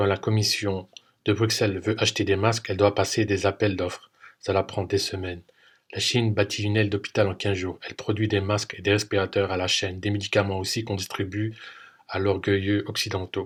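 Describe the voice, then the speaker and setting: A man with a fairly low pitch speaks in a somewhat breathy, monotone, flat way. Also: fairly quick pace. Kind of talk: podcast commentary narration.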